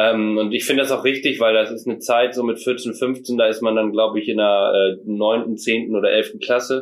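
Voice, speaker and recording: Speaking at a very fast pace, a man delivers his words at a medium pitch with monotone, flat intonation. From Mecklenburg-Vorpommern, northern Germany. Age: 20s. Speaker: hunter and hunting filmmaker. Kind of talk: casual podcast interview.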